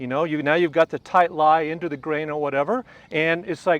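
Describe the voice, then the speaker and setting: A man's plain, everyday voice, fairly high in pitch, with an American accent and ordinary pitch variation, in a dry, close sound with no echo over a quiet background. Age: 60s. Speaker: retired tour golf professional. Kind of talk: golf instruction demonstration in casual interview. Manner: conversational, relaxed.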